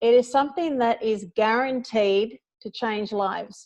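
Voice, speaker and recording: The woman speaks with an Australian accent at a fairly high pitch. Her pitch variation is ordinary, over a quiet background. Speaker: network marketing distributor. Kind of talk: testimony. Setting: phone call. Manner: animated.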